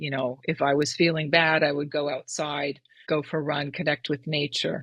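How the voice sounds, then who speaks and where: Over a quiet background, a woman speaks at a very deep, low pitch with monotone, flat intonation. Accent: American. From California, Marin County. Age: 60s. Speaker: endurance athlete and running coach. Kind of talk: interview conversation.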